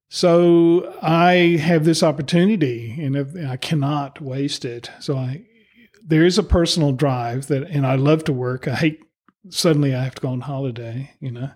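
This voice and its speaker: A man's normal speaking voice, fairly high in pitch, with ordinary pitch variation, a moderate pace and an American accent. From US South. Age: 60s. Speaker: sculptor. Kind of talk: interview.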